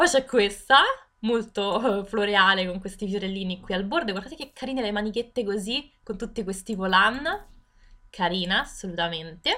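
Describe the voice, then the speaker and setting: A woman's animated, bright, sharp tone at medium pitch, with ordinary pitch variation and a fairly slow pace. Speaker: gaming youtuber. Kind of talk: game tutorial walkthrough.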